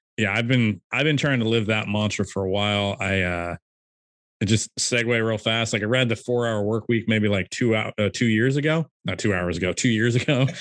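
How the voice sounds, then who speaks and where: An unremarkable speaking voice from a man, fairly low in pitch with ordinary pitch variation, at a moderate pace in a dry, close recording with no echo. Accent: American. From California. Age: 30s. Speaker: e-commerce seller. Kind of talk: casual interview. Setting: call.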